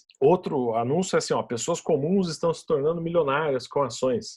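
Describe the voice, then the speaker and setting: In a very clean recording with a silent background, a somewhat breathy man with a Brazilian accent speaks at a moderate pace with lively intonation. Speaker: podcast host, investment educator. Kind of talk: solo podcast explanation of investing. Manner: casual, with many fillers and repetitions.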